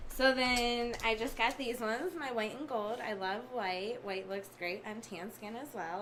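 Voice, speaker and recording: Over noticeable background noise and audible room echo, a woman with an American accent speaks at a fairly high pitch with ordinary pitch variation. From Michigan, Detroit area. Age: 20s. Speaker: barber. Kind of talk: casual interview.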